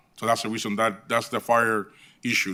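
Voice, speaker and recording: Recorded very cleanly against a silent background, a man with a Puerto Rican accent speaks in a bright, sharp tone. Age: 50s. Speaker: hotel property manager. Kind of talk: public meeting testimony.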